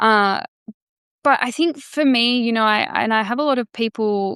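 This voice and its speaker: In an Australian accent, a woman speaks at a moderate pace, the sound dry and close with no echo. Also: quiet background. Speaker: author. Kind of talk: podcast interview. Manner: halting, many fillers.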